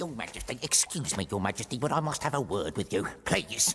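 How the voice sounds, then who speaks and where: A man puts on a cartoonish character voice at a medium pitch with lively intonation. He talks at a fairly quick pace over clear background noise. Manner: apologetic, fretful.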